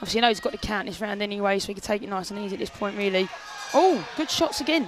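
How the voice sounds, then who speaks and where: Over music in the background, a woman talks very fast in a medium pitch with lively intonation. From South London. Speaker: fighter. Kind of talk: casual chat. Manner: animated.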